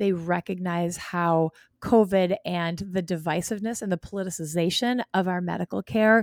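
At a moderate pace, a woman speaks with an animated, passionate tone, a medium pitch and ordinary pitch variation, in a very clean recording with a silent background and a dry, close sound with no echo. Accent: American. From Wisconsin, Green Bay area. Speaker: OB-GYN doctor. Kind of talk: interview.

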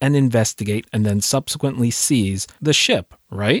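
Heard on a very clean recording with a silent background and a dry, close sound with no echo, a man with a plain, everyday voice and medium pitch talks fairly slowly with lively intonation. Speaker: podcast host and film commentator. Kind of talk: scripted-style analysis commentary.

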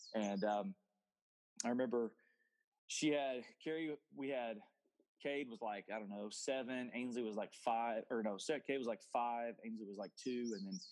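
A man with an Oklahoma accent talks at a moderate pace in a medium-pitched voice. He uses ordinary pitch variation and takes long, frequent pauses. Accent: Oklahoma Southern US. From Oklahoma, US. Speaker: football coach. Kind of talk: interview testimony. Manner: animated.

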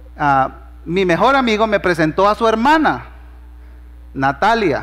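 A man at a moderate pace. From Honduras. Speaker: pastor. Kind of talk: sermon.

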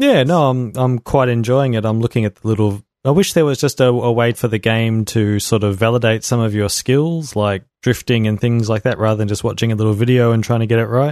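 A man with a Melbourne accent talks at a fairly quick pace and medium pitch, hardly pausing, with fairly even intonation and very even loudness. The sound is dry and close with no echo, over a quiet background. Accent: Australian, Melbourne northern suburbs. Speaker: podcast host. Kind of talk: casual chat.

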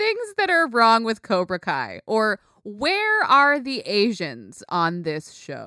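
Her fairly high voice has a bright, sharp, animated tone and very wide pitch swings, and the woman is recorded dry and close with no echo. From United States. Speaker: podcast host. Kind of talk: casual chat.

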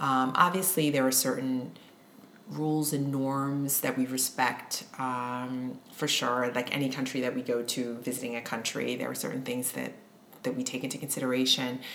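Over noticeable background noise, a woman in a New York accent speaks at a moderate pace with a very deep, low pitch and monotone, flat intonation. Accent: American (New York). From New York, US, Haitian immigrant parents. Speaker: indie author. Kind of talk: interview conversation. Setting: at home.

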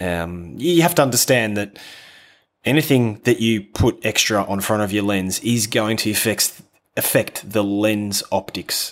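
A man with an Australian accent, fairly low in pitch, fairly slow, relaxed and enthusiastic in tone, with ordinary pitch variation. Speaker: landscape photographer. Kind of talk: casual interview chat. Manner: relaxed, enthusiastic, hesitant with fillers.

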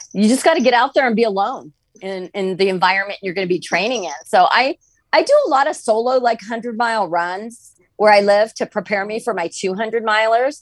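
A woman with an American accent has a plain, everyday voice, pitched fairly high. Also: lively intonation. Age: 50s. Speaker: ultrarunner and author. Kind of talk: podcast interview.

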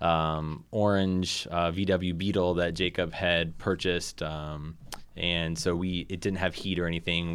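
Recorded very cleanly against a silent background, a man speaks in a very deep, low voice with a Midwestern American accent. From northern Indiana, Lake County. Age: 30s. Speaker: LGBTQ community organizer and parent. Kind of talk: interview. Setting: radio studio.

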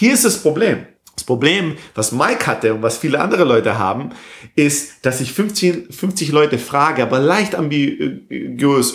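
A man is speaking. His pitch swings very widely. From southern Germany, near Stuttgart. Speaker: software entrepreneur. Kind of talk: interview. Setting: recording in Barcelona. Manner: halting, many fillers; mixes English words into German.

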